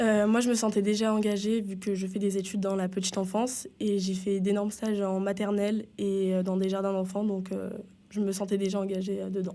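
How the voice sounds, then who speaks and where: A woman's medium-pitched, dark, mellow voice at a fairly quick pace, monotone and flat in intonation, with audible room echo. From southern France. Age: 20s. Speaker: childcare student, BAFA trainee. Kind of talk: interview.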